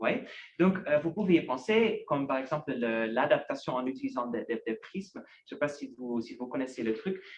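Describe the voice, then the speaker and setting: Lively intonation marks a man's fairly high-pitched voice. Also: moderate pace. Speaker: researcher giving a talk. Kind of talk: lecture. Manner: halting, many fillers and repetitions.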